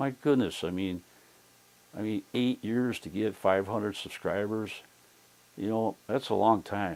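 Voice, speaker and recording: At a moderate pace, a man talks, his pitch varying in an ordinary way. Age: 60s. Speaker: YouTuber giving channel-growth advice. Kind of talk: casual vlog. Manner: halting, with many fillers and repetitions.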